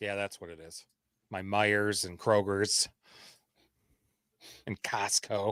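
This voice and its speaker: In a very slow delivery with long, frequent pauses, a man with a Michigan accent speaks at a fairly low pitch with monotone, flat intonation and big swings in loudness, in a dry, close sound with no echo on a very clean recording with a silent background. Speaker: fantasy football co-host. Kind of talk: casual live-stream chat; scripted segment reading. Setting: live stream.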